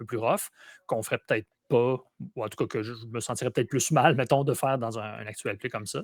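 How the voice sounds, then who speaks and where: Recorded very cleanly against a silent background, a man speaks with fairly even intonation in a dry, close sound with no echo. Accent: Quebec. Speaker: role-playing game player. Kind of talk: casual chat. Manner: halting.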